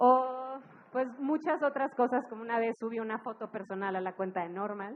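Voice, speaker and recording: A woman talks at a moderate pace in a fairly high pitch, with ordinary pitch variation. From Monterrey, Mexico. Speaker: music festival director. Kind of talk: live talk to an audience. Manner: casual, humorous.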